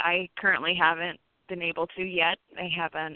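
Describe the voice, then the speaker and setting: With an American accent, a woman talks at a moderate pace in an unremarkable speaking voice at a fairly low pitch. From Indiana, Posey County. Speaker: novelist. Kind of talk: radio interview.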